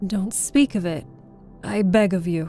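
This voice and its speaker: A woman puts on a character voice at medium pitch and a moderate pace. Clear music sounds in the background. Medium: read story. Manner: courteous, gentle.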